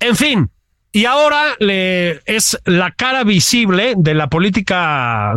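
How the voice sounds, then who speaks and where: Very wide pitch swings mark a man's high-pitched voice. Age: 50s. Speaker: political commentator, podcast co-host. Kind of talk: casual political chat.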